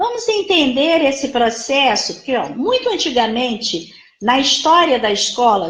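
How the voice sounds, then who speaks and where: At a moderate speed, a woman talks in a high-pitched voice. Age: 60s. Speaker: psychologist. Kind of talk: lecture. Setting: live stream.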